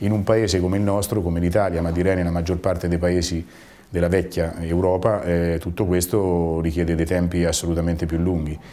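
With a very deep, low pitch, a man speaks at a fairly quick pace in a monotone, flat intonation and very even loudness. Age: 50s. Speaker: business owner. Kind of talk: interview testimony; interview answer. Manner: halting, with repetitions. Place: office. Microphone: lapel.

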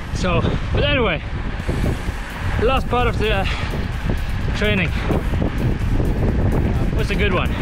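The speech moves at a moderate pace over background music, with a dry sound and no echo. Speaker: professional cyclist vlogger. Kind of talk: casual vlog chat. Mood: relaxed, joking. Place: bicycle. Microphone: phone near.

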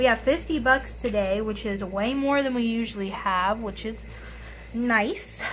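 Raspy and fairly high-pitched, this woman speaks at a fairly slow pace with ordinary pitch variation.

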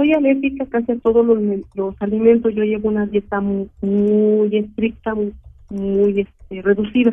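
A fairly high-pitched woman speaks at a fairly slow pace. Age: 60s. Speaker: caller. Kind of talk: phone-in health consultation. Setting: phone call. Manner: halting.

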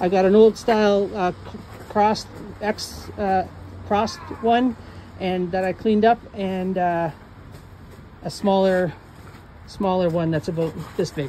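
A woman talks at a fairly slow pace, with long, frequent pauses. Her intonation is fairly even, over light background noise. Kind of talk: casual vlog chat. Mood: relaxed, cheerful. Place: street. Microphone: phone near.

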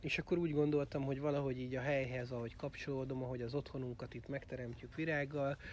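The sound is dry with no echo. A man speaks over light background noise. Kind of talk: book launch talk.

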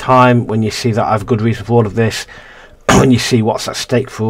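A passage is read out loud. The delivery is natural.

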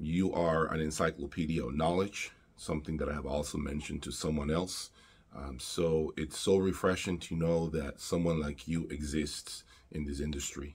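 A man with a very deep, low pitch, fairly even intonation and moderate pace. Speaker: audio reviewer. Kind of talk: casual vlog chat. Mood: grateful, sincere. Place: home room.

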